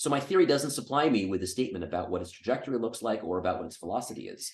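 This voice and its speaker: Very fast and somewhat breathy, a man speaks at a medium pitch with lively intonation. There is audible room echo. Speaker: physics lecturer. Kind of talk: Q&A after a lecture. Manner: hesitant, many fillers.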